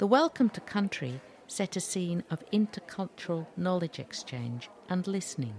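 A woman's somewhat breathy, medium-pitched voice with very wide pitch swings, at a moderate pace, in a dry, close sound with no echo. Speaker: podcast host. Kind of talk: scripted narration.

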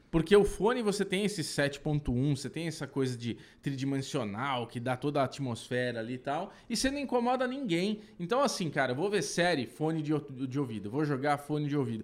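With a normal speaking voice, a man talks at a moderate pace and a fairly high pitch, using lively intonation and hardly any pauses, in a very clean recording with a silent background. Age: 40s. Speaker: podcast co-host. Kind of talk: casual chat.

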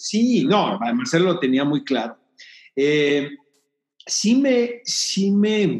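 A man with a high pitch talks at a very slow pace, using very wide pitch swings and long, frequent pauses while keeping a very even loudness. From Mexico, Tijuana. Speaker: film critic and producer. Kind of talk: interview.

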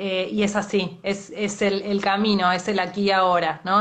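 With an Argentine accent, the speaker goes at a fairly slow pace in a monotone, flat intonation. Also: woman. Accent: Rioplatense Argentine Spanish. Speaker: journalist and interviewer. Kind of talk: interview. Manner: halting.

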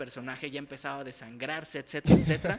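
The man's voice is fairly high-pitched, and his intonation stays fairly even. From Mexico. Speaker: podcast co-host. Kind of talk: casual chat. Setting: in-person studio at a home.

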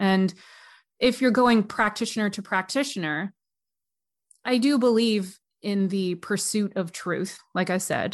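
Against a quiet background, a plain, everyday voice with a Canadian accent moves at a fairly slow pace with ordinary pitch variation. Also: woman. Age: 30s. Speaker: massage therapist and death doula. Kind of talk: interview conversation.

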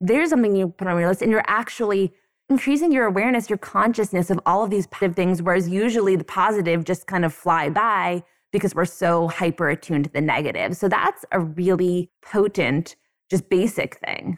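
Recorded very cleanly with a silent background and a dry, close sound with no echo, a woman uses a normal speaking voice at a medium pitch, fairly quick in pace, with ordinary pitch variation and very even loudness. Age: 30s. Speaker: law school dean and professor. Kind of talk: interview.

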